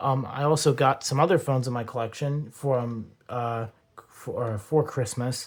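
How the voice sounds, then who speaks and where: A man speaks at a moderate pace in a medium pitch. His voice is somewhat breathy. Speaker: phone collector YouTuber. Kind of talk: unboxing video. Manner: hyperactive.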